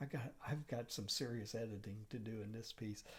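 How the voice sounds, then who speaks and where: A dark, mellow tone with ordinary pitch variation. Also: man. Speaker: art professor and watercolor YouTuber. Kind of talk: casual vlog monologue. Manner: halting, many fillers and repeats.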